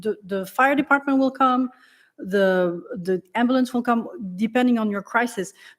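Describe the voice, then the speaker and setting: A high-pitched woman's voice in a French accent, at a moderate pace with ordinary pitch variation, on a very clean recording with a silent background. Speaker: select board member. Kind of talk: public meeting discussion. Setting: town meeting room, broadcast.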